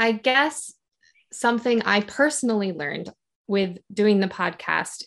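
A woman with an American accent at a moderate pace, ordinary pitch variation, and a quiet background. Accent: general American, slight Canadian-like. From Michigan, US. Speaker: podcaster, teacher in Japan. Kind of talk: interview, casual chat.

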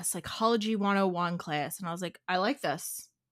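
A woman with a strong Philadelphia accent, medium pitch, ordinary pitch variation and a moderate pace. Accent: strong Delco (Philadelphia-area). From Delaware County, Pennsylvania (Philadelphia suburbs). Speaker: therapist. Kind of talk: casual interview chat. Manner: animated.

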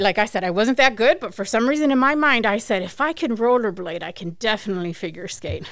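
With an American accent and a normal speaking voice, a woman talks at a fairly quick pace, her fairly high pitch carrying lively intonation. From US, Mexican American family. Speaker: physical therapist and clinic owner. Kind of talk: interview. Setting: studio.

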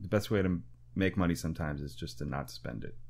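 A man with an American accent talks at a moderate pace in a very deep, low voice with vocal fry. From rural Wisconsin, US Midwest. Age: 30s. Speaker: jazz musician. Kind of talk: casual interview chat.

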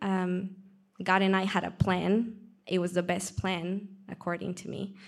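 Speaking at a fairly slow pace, a woman with a Peruvian accent uses a medium pitch. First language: Spanish. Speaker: church member sharing testimony. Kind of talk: testimony.

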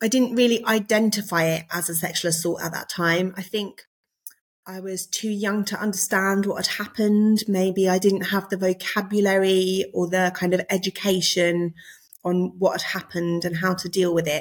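A woman speaks at a medium pitch and moderate pace. Her intonation stays flat and monotone. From Surrey, England. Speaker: former solicitor, preacher and author. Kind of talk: casual interview chat.

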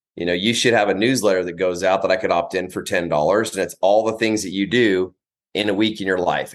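Against a quiet background, a man talks fairly quickly with fairly even intonation. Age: 40s. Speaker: business coach. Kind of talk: casual interview.

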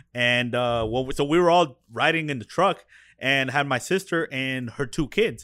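On a very clean recording with a silent background, a man with an American accent speaks at a moderate pace in a bright, sharp tone, with medium pitch and ordinary pitch variation. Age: 30s. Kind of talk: casual chat.

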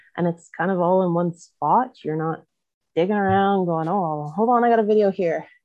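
A woman with a Canadian Prairie accent speaks at a medium pitch. Her pace is moderate and her pitch variation ordinary. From Canada, southwest Manitoba. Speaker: vet tech turned oil hauler and mom. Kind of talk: casual interview chat.

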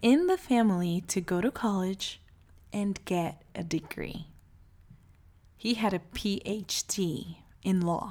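Speaking at a very slow pace, this voice has a warm tone and ordinary pitch variation. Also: woman. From Brazil (Salvador, Bahia). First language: Portuguese. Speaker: podcast host, life coach. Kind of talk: personal monologue. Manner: warm, with frequent laughs.

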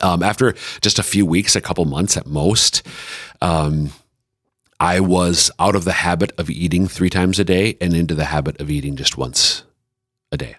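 A man with an Upper Midwest accent speaks at a very deep, low pitch with vocal fry and ordinary pitch variation. Long, frequent pauses break up his speech. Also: moderate pace. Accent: Upper Midwest American. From central Minnesota. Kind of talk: casual chat.

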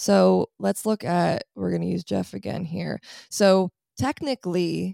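A woman speaks at a fairly low pitch with lively intonation. The sound is dry and close, with no echo. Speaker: astrologer. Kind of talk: casual chat. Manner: fast talker.

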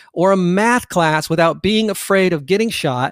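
A man with a high voice speaks in a dry, close sound without echo, on a very clean recording with a silent background. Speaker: podcast host.

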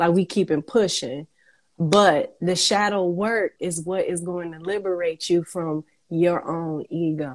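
A woman in a normal speaking voice talks at a fairly slow pace with fairly low pitch and fairly even intonation, in a dry, close sound with no echo. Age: 30s. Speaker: affirmation music artist. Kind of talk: casual chat.

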